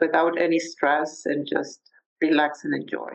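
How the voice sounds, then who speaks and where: Speaking with a Spanish accent, a woman has a very deep, low pitch. Her pace is fairly slow and her intonation fairly even. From Mexico City, Mexico. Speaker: podcast guest sharing life story. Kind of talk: interview. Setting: video call.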